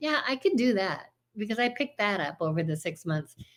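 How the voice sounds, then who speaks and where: A woman with an American accent speaks at a medium pitch with very wide pitch swings. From United States. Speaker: retired Spanish teacher, video blogger. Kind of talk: personal storytelling in a casual video. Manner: conversational, animated.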